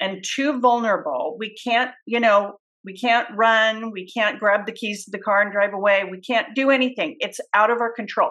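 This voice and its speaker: With hardly any pauses, a woman talks at a moderate pace in a fairly high pitch, showing ordinary pitch variation and big swings in loudness. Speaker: podcast host. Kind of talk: casual chat.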